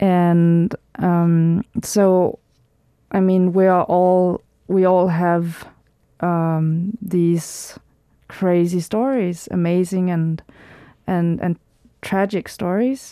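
A woman with a Danish accent and a dark, mellow tone speaks at a very slow pace and a fairly low pitch, with fairly even intonation, very even loudness and long, frequent pauses. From Denmark, rural countryside. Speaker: documentary filmmaker. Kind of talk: radio interview.

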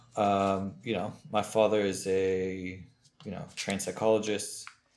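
A man with an American accent speaks at a fairly low pitch and a fairly slow pace. Audible room echo fills the recording. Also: long, frequent pauses, big swings in loudness. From US West Coast (Los Angeles). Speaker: former rabbi, recovering alcoholic. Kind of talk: testimony.

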